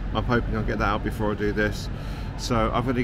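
A man talks at a fairly quick pace, his voice dry with no echo over noticeable background noise. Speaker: film photography vlogger. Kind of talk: casual vlog chat. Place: station. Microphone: phone near.

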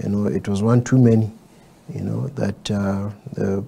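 A man talks at a moderate pace in an ordinary speaking voice, fairly low in pitch with ordinary pitch variation. Light background noise sits behind him. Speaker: candidate. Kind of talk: interview answer. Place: studio.

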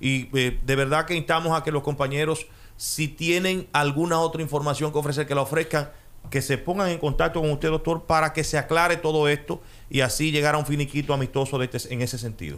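With an ordinary speaking voice, a man talks at a fairly quick pace, his fairly high pitch held in fairly even intonation. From Dominican Republic. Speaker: radio host. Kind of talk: radio interview. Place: studio. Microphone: studio mic.

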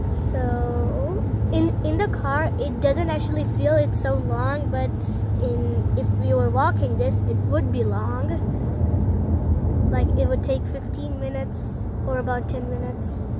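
Loud background noise sits under a dry sound with no echo. A woman speaks at a fairly slow pace. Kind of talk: casual vlog chat. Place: car. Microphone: phone near.

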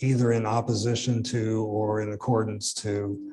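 A man with an American accent speaks at a medium pitch in a dark, mellow, somewhat breathy voice. Light background noise sits behind him. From southeastern Illinois. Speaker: professor and author; professor. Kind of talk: interview. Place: hall.

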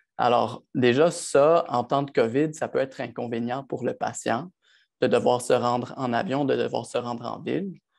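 A man talks at a moderate pace in an unremarkable speaking voice, medium in pitch with ordinary variation. The background is quiet. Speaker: optometrist; panelist. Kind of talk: panel discussion. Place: home room. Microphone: earbuds.

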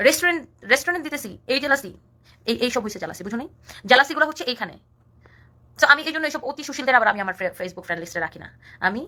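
In a raised, projected voice, a woman talks at a high pitch with a bright, sharp, animated tone, very wide pitch swings and big swings in loudness. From rural Bangladesh. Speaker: social media personality. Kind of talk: live stream rant.

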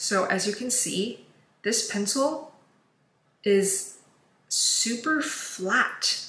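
A woman's bright, sharp tone, with ordinary pitch variation, comes through audible room echo. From China. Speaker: beauty YouTuber. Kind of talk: makeup tutorial. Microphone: phone near.

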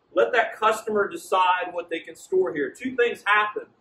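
A man with a high pitch speaks at a fairly slow pace, his bright, sharp, confident tone carried by very wide pitch swings. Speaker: sales trainer. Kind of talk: training presentation. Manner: animated. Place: shop.

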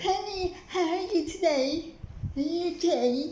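A squeaky, put-on character voice at an extremely high pitch, speaking at a fairly slow pace in an American accent. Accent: fake American. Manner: pretending, affected.

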